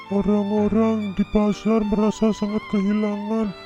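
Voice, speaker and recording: A man does a cartoonish character voice, pitched high and flat in monotone. He speaks fairly slowly, with clear music in the background. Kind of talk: spoken storytelling.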